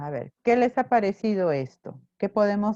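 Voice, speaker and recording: A soft-spoken woman with a dark, mellow tone, at a moderate pace, in a dry, close sound with no echo. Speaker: teacher. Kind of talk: online class lecture.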